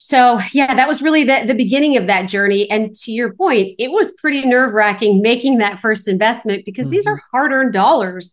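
With lively intonation and a fairly quick pace, a woman speaks in an ordinary speaking voice at a fairly high pitch. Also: hardly any pauses. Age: 40s. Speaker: real estate investor. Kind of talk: interview.

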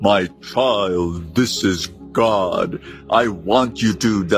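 A man puts on a booming character voice, pitched fairly low. He speaks at a very slow pace with clear music in the background. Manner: commanding.

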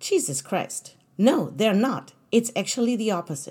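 A woman's fairly high, dark and mellow voice with vocal fry and very wide pitch swings, at a moderate pace, on a very clean recording with a silent background. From Germany. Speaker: podcast host. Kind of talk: solo monologue.

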